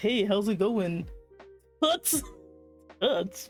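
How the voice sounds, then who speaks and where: A put-on character voice sits at a fairly high pitch. Faint music plays in the background. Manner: goofy.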